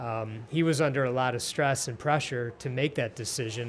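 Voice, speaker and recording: A man speaks at a moderate pace with a plain, everyday voice and an American accent. His pitch sits in the middle, the intonation is fairly even, and there is light background noise. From Detroit area, Michigan; Michigan. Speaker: podcast host. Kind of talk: interview. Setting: restaurant. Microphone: studio mic.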